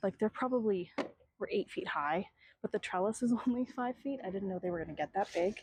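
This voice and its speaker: A woman speaks softly at a fairly quick pace, her medium-pitched voice somewhat breathy. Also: ordinary pitch variation. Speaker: artist and vlogger. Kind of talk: casual vlog. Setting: outdoors in garden. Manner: soft-spoken.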